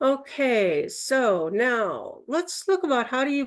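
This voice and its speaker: Over a quiet background, a woman speaks with a Minnesota accent, her pitch swinging very widely. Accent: Minnesota Midwest voice. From Minnesota, US Midwest. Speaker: Toastmasters speaker, workshop presenter. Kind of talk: educational talk at a Toastmasters session. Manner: instructive, conversational.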